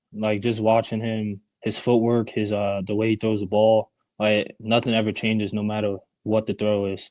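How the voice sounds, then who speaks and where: Dry and close with no echo, this very clean recording with a silent background has a man speaking at a moderate pace and fairly low pitch in a Bronx accent. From US Northeast, the Bronx. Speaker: college quarterback. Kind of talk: interview.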